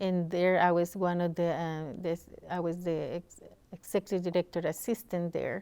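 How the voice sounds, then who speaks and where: Her tone is dark and mellow. The woman's delivery stays flat, barely rising or falling at all. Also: fairly low pitch for a woman, moderate pace. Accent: Costa Rican. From Costa Rica, San Jose. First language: Spanish. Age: 40s. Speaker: community organization leader. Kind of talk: interview. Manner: halting, many fillers.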